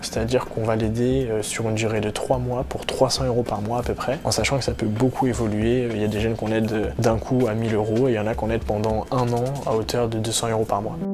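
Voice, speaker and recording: A man's medium-pitched voice at a very fast pace with hardly any pauses and fairly even intonation, amid audible room echo and noticeable background noise. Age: 20s. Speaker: charity co-founder. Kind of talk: interview testimony. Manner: hesitant with fillers.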